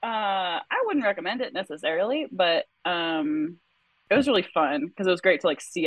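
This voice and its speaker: Talking at a fairly quick pace with an American accent, a woman with a fairly low pitch makes very wide pitch swings. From Wisconsin, US Midwest. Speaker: bikepacking racer. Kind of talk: casual interview chat.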